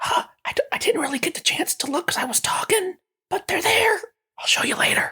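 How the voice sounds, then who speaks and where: A man whispers in a put-on character voice at a fairly quick pace. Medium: actual play. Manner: rambling, excited.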